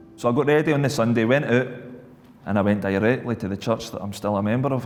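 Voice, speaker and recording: This man speaks with a Scottish accent. His pace is fairly quick and his intonation fairly even. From Scotland. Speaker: former alcoholic, ex-prisoner. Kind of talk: testimony.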